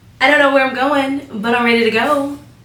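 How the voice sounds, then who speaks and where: High-pitched female voice with audible room echo. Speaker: sewing youtuber. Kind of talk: tutorial. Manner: animated.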